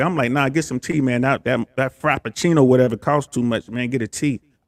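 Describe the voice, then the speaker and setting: A man with an American accent talks at a fairly quick pace in an ordinary speaking voice, medium in pitch, with a dry, close sound and no echo. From USA. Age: 50s. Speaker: army veteran and relationship commentator. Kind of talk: casual chat. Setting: live stream.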